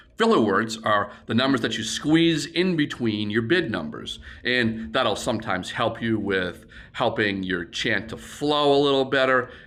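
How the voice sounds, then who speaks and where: A man's medium-pitched voice with lively intonation at a moderate pace, with audible room echo. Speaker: auctioneer. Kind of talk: tutorial. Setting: warehouse.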